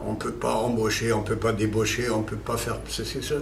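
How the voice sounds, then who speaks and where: At a moderate pace, the voice comes through audible room echo and noticeable background noise. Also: man. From Germany. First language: German (speaking French). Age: 60s. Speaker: company founder. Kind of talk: corporate interview. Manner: hesitant, many fillers.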